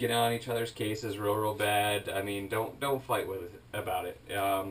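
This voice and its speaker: Somewhat breathy and fairly low-pitched, a man speaks at a fairly slow pace. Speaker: reptile breeder. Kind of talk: casual tutorial monologue. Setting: alone in reptile room filmed on GoPro. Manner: halting, full of fillers.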